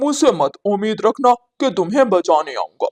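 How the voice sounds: In a cartoonish character voice, a man speaks at a high pitch. His pace is fairly slow.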